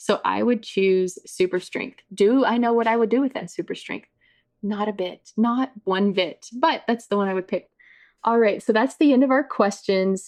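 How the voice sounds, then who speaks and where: A woman with a fairly high pitch speaks moderately fast, her pitch varying in an ordinary way. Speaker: podcast host, marketing coach. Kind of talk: casual chat. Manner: loud.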